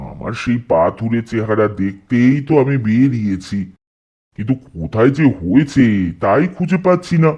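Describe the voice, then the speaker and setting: A man puts on a character voice, keeping his pitch medium and his speed fairly slow. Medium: audio drama. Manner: vain, rambling, matter-of-fact.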